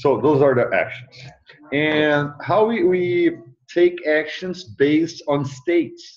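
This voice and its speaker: A man with a non-native accent at a very slow pace. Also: ordinary pitch variation, very even loudness. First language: not English. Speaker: mentor. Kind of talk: tutoring session. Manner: halting.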